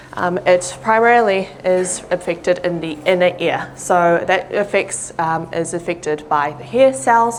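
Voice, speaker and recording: A woman with a New Zealand accent talks at a fairly slow pace with hardly any pauses. Her pitch is fairly low, with ordinary pitch variation. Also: big swings in loudness. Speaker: audiologist. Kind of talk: public talk. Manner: frequent fillers (um).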